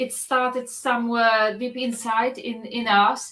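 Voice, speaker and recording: The speaker has a Polish accent and talks at a very slow pace. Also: woman. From Poland. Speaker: festival organizer. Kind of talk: casual chat.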